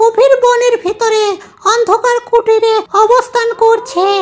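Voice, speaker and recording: Over clear background noise, a squeaky, female-sounding cartoonish character voice speaks in an extremely high pitch. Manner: gossipy.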